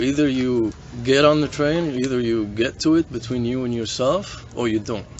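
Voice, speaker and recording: Against noticeable background noise, a man of medium pitch speaks with fairly even intonation. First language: not English. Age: 40s. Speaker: hostel guest. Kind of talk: casual chat. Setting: hostel gathering around a campfire.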